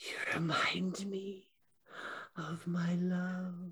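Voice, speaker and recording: A man whispers. He uses a put-on character voice. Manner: whispering, wistful and lonely.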